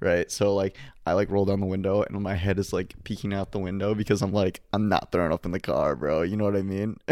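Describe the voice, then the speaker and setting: The recording is very clean, with a silent background. A man with a Midwestern American accent talks at a very fast pace in monotone, flat intonation. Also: fairly low pitch for a man. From Michigan, Detroit suburbs. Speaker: college student podcast co-host. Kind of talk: casual chat.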